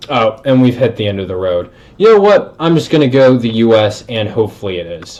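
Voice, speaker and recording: A man with an American accent and a normal speaking voice, medium in pitch, fairly quick, with lively intonation. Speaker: sports YouTuber. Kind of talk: gameplay commentary. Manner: casual.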